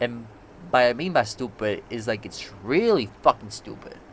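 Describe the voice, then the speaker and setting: Lively in intonation, a man speaks at a moderate pace and a medium pitch. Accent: Puerto Rican. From Puerto Rico. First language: Spanish. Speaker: gaming YouTuber. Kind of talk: gameplay commentary. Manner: casual, rambling with fillers.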